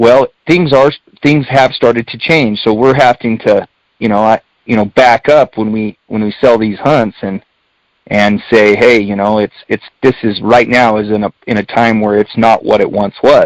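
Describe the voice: Fairly even intonation marks a man's fairly low-pitched voice. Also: moderate pace, dry, close sound with no echo.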